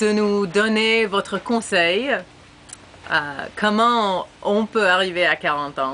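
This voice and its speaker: Speaking very slowly with long, frequent pauses, a woman with an English accent holds a medium pitch, ordinary pitch variation and very even loudness. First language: English (speaking French). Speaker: former exchange student. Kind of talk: recorded video message. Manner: halting.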